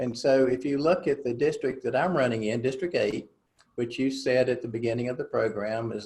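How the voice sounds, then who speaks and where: In a North Carolina accent, a man talks at a moderate pace in a medium pitch. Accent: Southern US (North Carolina). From North Carolina Piedmont. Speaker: political candidate. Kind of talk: interview. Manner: hesitant, many filler words.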